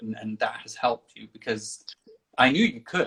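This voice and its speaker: The speaker talks at a moderate pace with a Danish accent. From Denmark. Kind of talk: casual interview. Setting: livestream video call.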